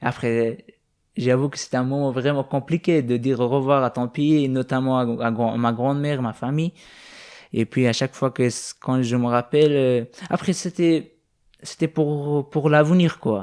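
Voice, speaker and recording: At a fairly slow pace and medium pitch, a man talks with ordinary pitch variation in a very clean recording with a silent background. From Afghanistan. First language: not French, learned it as a teen (speaking French). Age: 20s. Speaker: young refugee. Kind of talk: interview. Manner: halting, many hesitations.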